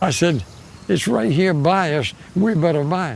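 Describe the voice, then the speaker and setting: A man with an American accent speaks at a moderate pace and a fairly high pitch. His pitch varies in an ordinary way, and there is noticeable background noise. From Maryland, USA. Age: 80s+. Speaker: farmer. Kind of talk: interview answer.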